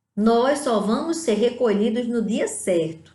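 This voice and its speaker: Audible room echo fills the space as a woman talks very slowly. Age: 60s. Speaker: lay preacher. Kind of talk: sermon.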